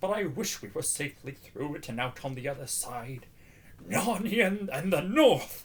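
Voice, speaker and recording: Putting on a character voice, a man speaks at a moderate pace with fairly high pitch, and background noise is clearly audible. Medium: read story.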